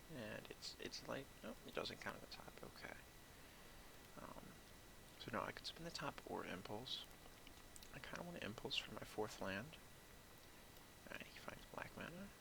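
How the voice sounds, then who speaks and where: Someone whispers with long, frequent pauses. Noticeable background noise runs beneath it. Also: moderate pace. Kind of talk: gameplay commentary. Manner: soft-spoken; quiet.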